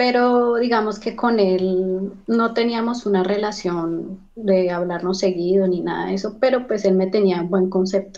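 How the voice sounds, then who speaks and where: A woman speaks at a fairly slow pace. Her intonation is fairly even. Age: 30s. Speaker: recent migrant, job seeker; interview guest. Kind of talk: interview testimony. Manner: hesitant, many fillers. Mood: calm, somewhat worried. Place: home room. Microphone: video call.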